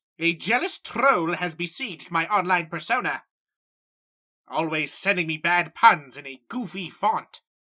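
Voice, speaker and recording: A put-on character voice, female-sounding, at a middle pitch and a moderate pace. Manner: loud, enthusiastic.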